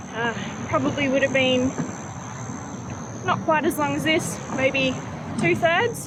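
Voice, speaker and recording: Over noticeable background noise, a woman with a strong Australian accent speaks in an upbeat tone at a moderate pace. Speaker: angler. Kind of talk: casual talk to camera. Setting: outdoors.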